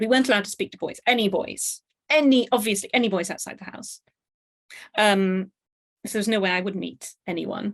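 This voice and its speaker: Ordinary pitch variation at a fairly quick pace. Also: woman. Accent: strong British. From Pakistan. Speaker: author and university lecturer. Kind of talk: interview. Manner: halting.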